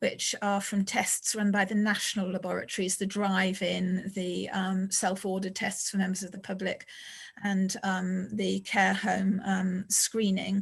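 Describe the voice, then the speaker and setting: A woman's medium-pitched, somewhat breathy voice in a flat monotone at a fairly slow pace, on a very clean recording with a silent background. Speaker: public health official. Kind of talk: public meeting briefing. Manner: hesitant, many fillers.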